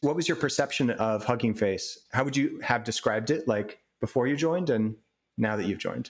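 At a fairly quick pace, a man speaks at medium pitch with ordinary pitch variation and a normal speaking voice. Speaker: podcast interviewer, NLP practitioner. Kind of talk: interview. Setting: remote call from home.

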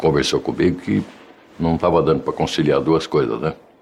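Over noticeable background noise, a man speaks in a very deep, low pitch. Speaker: athlete's father, business owner. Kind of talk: interview.

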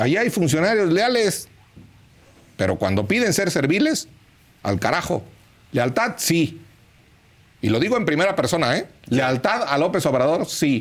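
A man with a high pitch talks at a fairly slow pace, leaving long, frequent pauses. His pitch swings very widely while his loudness stays very even. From Mexico, Hidalgo. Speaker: politician. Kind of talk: political commentary.

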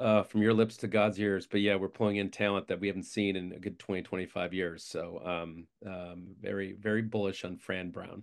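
A man talks in an American accent at a fairly low pitch. His intonation is monotone and flat. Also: hardly any pauses. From Syracuse, New York. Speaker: investor and agency founder. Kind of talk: casual interview. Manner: fast talker.

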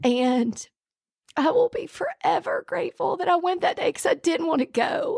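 With a Southern US accent, a woman speaks at a fairly slow pace with very wide pitch swings, in a dry, close sound with no echo. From Alabama. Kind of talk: testimony. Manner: animated.

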